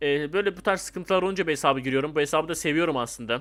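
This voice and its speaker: The recording is very clean with a silent background, and the animated voice has a bright, sharp tone and ordinary pitch variation. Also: man. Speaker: gaming youtuber. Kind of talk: gameplay commentary.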